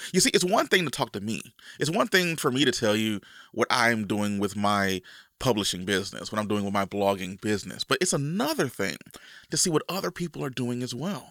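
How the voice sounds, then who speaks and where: A man with a bright, sharp tone at a fairly quick pace, in a dry, close sound with no echo. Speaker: podcast host. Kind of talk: casual solo podcast monologue.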